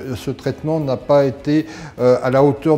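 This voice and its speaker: Noticeable background noise sits behind a man with fairly high pitch. He speaks at a moderate pace with fairly even intonation. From France, near Geneva. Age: 60s. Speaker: dental patient. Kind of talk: testimonial. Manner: halting, many hesitations.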